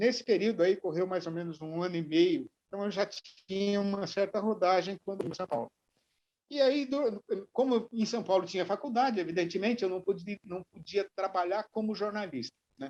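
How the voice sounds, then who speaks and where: A man speaks in a high pitch, with a dry, close sound and no echo. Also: ordinary pitch variation, moderate pace. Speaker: journalist and TV presenter. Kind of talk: interview answer. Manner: conversational, relaxed.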